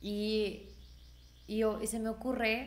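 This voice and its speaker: A woman's voice at a medium pitch, with audible room echo. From Mexico, Irapuato (Guanajuato). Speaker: singer. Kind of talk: casual chat.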